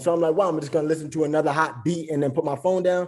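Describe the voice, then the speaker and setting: His voice carries a dark, mellow tone at a fairly high pitch for a man. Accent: New York. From New York. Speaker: rapper. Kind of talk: interview.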